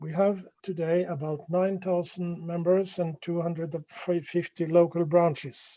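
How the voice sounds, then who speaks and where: A man with a high pitch at a fairly slow pace. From Norway. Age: 70s. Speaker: NGO vice president. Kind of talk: conference presentation. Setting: video call. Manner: halting.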